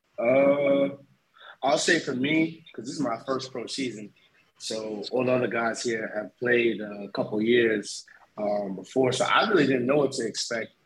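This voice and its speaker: At a moderate pace, a man speaks in a medium pitch. His pitch variation is ordinary. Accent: New York. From Long Island, New York. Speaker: import football player. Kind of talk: casual interview. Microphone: echo in headphones.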